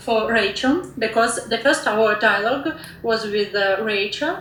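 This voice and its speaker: With a Russian accent and ordinary pitch variation, the voice comes through with audible room echo and noticeable background noise. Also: woman. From Russia, Moscow. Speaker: online discussion moderator. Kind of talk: moderated group discussion. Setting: online audio room. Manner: halting, many fillers.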